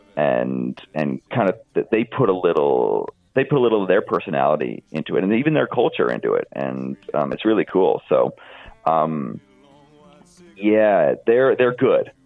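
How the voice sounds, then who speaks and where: Music can be heard behind the voice. A man talks at a moderate speed. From Arizona, US. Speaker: country musician. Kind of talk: interview. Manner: hesitant, many fillers.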